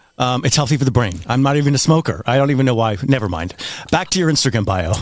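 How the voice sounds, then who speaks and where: At a very fast pace, a man speaks with lively intonation and a medium pitch. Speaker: podcast host. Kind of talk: casual chat.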